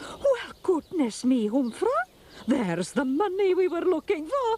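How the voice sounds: This cartoonish character voice sits extremely high, with very wide swings in pitch. The pace is moderate.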